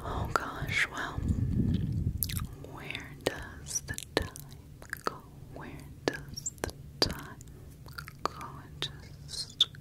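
Whispering and breathy, the speech moves at a very slow pace with long, frequent pauses. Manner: close breathy ear whisper.

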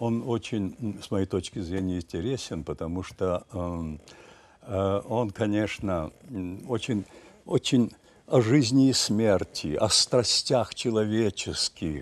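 At a very slow pace, a man speaks with a fairly low pitch, ordinary pitch variation, and long, frequent pauses. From Ukraine, village near Kyiv. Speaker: stage actor. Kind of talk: interview. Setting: studio. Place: studio. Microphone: lapel.

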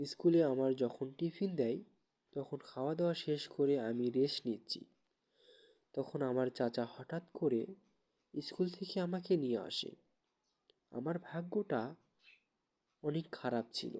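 Dark and mellow in tone, a man speaks at a fairly high pitch with ordinary pitch variation. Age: 30s. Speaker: vlogger. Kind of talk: personal storytelling.

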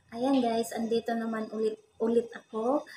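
A woman's dark, mellow tone over light background noise. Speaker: vlogger. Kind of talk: casual vlog chat. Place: home room. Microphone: phone near.

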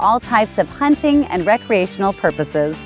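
A woman's pitch swings very widely as she talks at a moderate pace. Music plays in the background. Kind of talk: real estate promotional narration.

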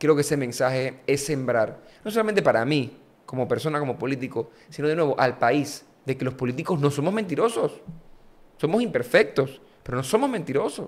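A man delivers his words at a fairly quick pace in a fairly high voice. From Panama, San Miguelito; Panama. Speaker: politician. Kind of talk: interview conversation. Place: studio. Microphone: studio mic.

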